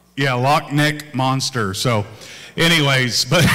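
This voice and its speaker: With noticeable background noise behind him, a man speaks at a fairly slow pace. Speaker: pastor. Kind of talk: casual church remarks. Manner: loud.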